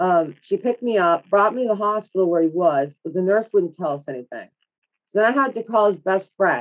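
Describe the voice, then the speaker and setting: Her intonation lively, a woman speaks fairly quickly in a plain, everyday voice at a medium pitch. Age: 30s. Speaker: podcast guest sharing mental health experiences. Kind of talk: casual interview chat.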